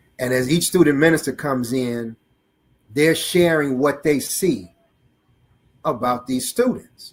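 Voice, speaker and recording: At a moderate pace, a man with an American accent talks in an animated tone, his medium pitch showing ordinary variation. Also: long, frequent pauses, big swings in loudness. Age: 60s. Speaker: student minister. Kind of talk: testimony.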